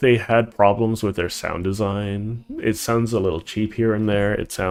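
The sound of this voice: The reading voice is unforced, its intonation fairly even.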